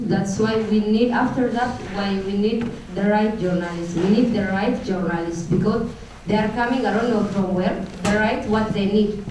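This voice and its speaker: Speaking at a moderate pace, a woman has a medium pitch and fairly even intonation with very even loudness. Audible room echo and noticeable background noise are in the recording. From Ethiopia. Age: 20s. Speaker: refugee activist. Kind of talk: testimony. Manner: halting, with fillers.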